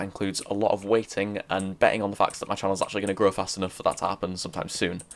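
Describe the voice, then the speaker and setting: A man's very fast, monotone delivery in a fairly low pitch, with flat intonation. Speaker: gaming YouTuber. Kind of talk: casual vlog talk while playing. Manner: rambling, casual.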